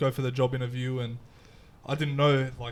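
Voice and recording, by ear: The intonation stays fairly even. A man speaks at medium pitch.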